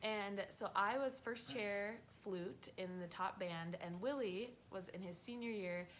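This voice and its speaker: With an American accent, the woman talks at a medium pitch, her pitch varying in an ordinary way. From North Dakota, Fargo. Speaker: vlogger. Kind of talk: casual chat.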